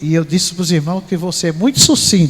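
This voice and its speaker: A high-pitched man over noticeable background noise. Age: 60s. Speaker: pastor. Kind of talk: sermon.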